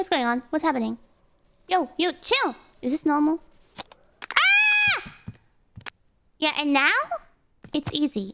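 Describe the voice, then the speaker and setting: A woman with a high pitch and lively intonation talks at a fairly slow pace, leaving long, frequent pauses. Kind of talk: excitable livestream reaction. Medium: virtual streamer. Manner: pleading, mock-scandalized.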